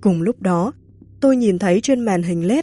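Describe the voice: Someone reads aloud plainly. Their intonation rises and falls in a lively way.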